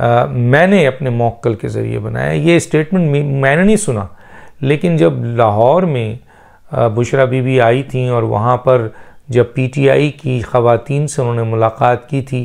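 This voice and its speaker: Over a quiet background, a man talks at a very slow pace. His pitch variation is ordinary. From Pakistan. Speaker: political commentator. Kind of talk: political commentary monologue. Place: home room. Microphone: lapel.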